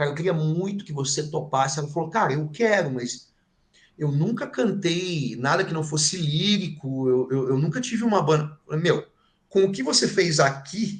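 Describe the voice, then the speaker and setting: At a moderate pace, a man speaks with lively intonation. His pitch is fairly high. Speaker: heavy metal band vocalist. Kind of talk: interview. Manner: animated.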